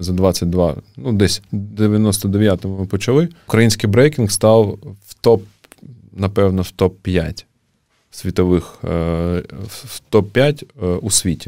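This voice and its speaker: At a very slow pace, a man speaks with fairly low pitch and a dark, mellow tone. His loudness swings widely. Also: ordinary pitch variation. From Ukraine, Kharkiv. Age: 30s. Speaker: breakdance community founder. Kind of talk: casual interview. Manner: halting with fillers.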